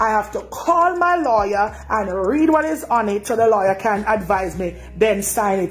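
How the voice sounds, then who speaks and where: Animated in tone and in a Jamaican accent, the voice moves at a moderate pace with very wide pitch swings over noticeable background noise. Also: woman. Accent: Jamaican Creole patois. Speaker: dissatisfied hotel guest. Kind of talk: complaint testimony.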